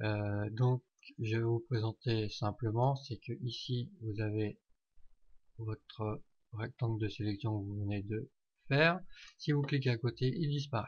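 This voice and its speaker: Somewhat breathy and very slow, a man speaks at a medium pitch in a dry, close sound with no echo against a quiet background. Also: ordinary pitch variation. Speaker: software tutorial maker. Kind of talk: tutorial. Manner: hesitant, many fillers.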